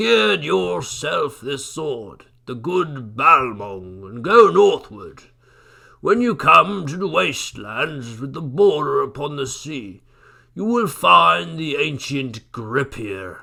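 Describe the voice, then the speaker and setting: Using a raspy, put-on character voice at medium pitch, a man speaks at a very slow pace with very wide pitch swings and big swings in loudness. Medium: read story. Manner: grave, advising.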